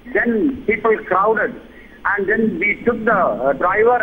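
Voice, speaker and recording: A man talks at a moderate pace with a high pitch and ordinary pitch variation. Noticeable background noise runs behind him. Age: 70s. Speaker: viewer caller. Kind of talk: phone-in testimony.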